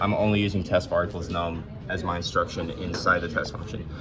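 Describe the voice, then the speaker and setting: A man talks at a moderate pace with fairly even intonation. Audible room echo and noticeable background noise are present. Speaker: engineering student. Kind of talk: lab demo tutorial. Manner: hesitant, many fillers.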